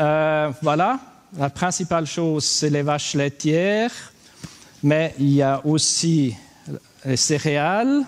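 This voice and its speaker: A man with a Swiss German accent, fairly high-pitched, at a very slow pace with long, frequent pauses, lively intonation and very even loudness. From German-speaking Switzerland. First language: Swiss German (speaking French). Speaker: livestock farmer, conference speaker. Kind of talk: conference talk. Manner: halting.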